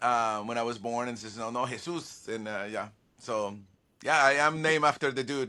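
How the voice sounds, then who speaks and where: A man with a Spanish accent speaks at a moderate pace in a bright, sharp tone, on a very clean recording with a silent background. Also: medium pitch for a man, ordinary pitch variation. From Venezuela. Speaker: violinist and music producer. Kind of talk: interview. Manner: halting, many repeated words.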